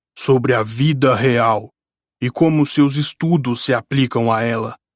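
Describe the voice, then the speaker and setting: A man's growling, put-on character voice at medium pitch, with fairly even intonation. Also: fairly slow pace. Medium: read story. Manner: serious, exacting.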